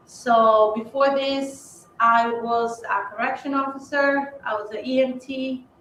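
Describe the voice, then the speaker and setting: Speaking at a fairly slow pace, a woman with a Spanish accent has a bright, sharp tone. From Ecuador. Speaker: police officer. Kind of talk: panel talk.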